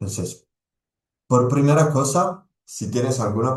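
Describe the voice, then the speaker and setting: This is a man's voice. He has an Italian accent. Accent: non-native Spanish, Italian. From Italy. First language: Italian (speaking Spanish). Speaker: sports nutrition expert, pharmacist. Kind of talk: presentation to a team. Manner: halting, many fillers and repetitions.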